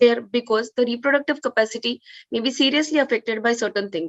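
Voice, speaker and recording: High pitch from a woman talking very fast, her pitch varying in an ordinary way. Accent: Indian. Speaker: oncologist. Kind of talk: conference talk.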